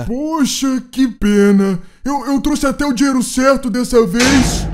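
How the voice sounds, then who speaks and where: A man uses a put-on character voice pitched extremely high. He delivers it at a fairly slow pace. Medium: machinima. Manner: calm, friendly, naive.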